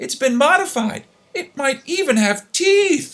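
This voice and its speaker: A loud, high-pitched put-on character voice moves at a fairly slow pace. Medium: read story.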